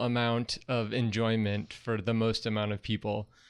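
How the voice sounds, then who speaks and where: A man with a medium pitch and a normal speaking voice talks at a moderate pace over a quiet background. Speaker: broadcast engineer. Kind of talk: casual podcast talk. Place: home room. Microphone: studio mic.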